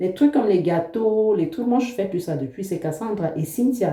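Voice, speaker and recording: A woman talks at a moderate pace with a medium pitch. Her pitch swings very widely. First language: an African language, not French (speaking French). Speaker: vlogger, mother. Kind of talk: casual vlog talk to camera.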